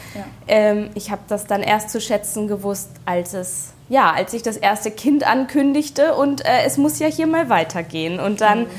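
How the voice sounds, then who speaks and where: Speaking at a moderate pace with hardly any pauses, a woman uses a fairly high pitch with very wide pitch swings. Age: 30s. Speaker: homeowner and beautician. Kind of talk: casual interview at home. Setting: at her home. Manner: hesitant, many fillers.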